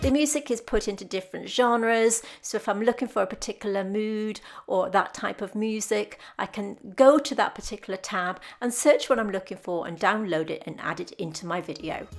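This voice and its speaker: A woman with a British accent speaks at a fairly quick pace in a fairly high pitch with ordinary pitch variation, on a very clean recording with a silent background. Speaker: artist and art tutorial YouTuber. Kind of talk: tutorial voiceover narration. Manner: stumbles over words; smiling while talking.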